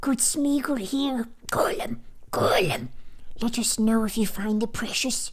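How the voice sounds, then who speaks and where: A put-on character voice, fairly high in pitch and fairly slow, over light background noise. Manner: wheedling, cackling.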